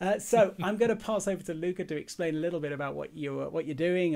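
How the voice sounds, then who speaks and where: A man's dark, mellow voice at a very fast pace. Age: 40s. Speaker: podcast host. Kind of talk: casual interview.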